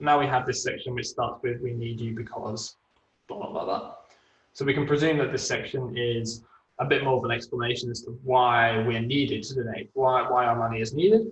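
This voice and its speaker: This is a man speaking at a medium pitch. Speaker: web designer presenting a webinar. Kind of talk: webinar tutorial. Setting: online webinar. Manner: fast.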